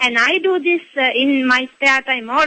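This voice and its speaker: Here a woman speaks at a fairly slow pace. Her pitch is high, with ordinary pitch variation. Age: 60s. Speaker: caller, retired doctor. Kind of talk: radio call-in. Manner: halting.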